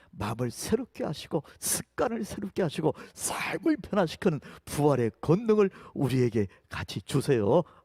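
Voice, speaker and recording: Pitched fairly high, a man talks at a moderate pace with a dark, mellow tone, vocal fry and very wide pitch swings. The sound is dry and close, with no echo. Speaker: pastor. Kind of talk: sermon.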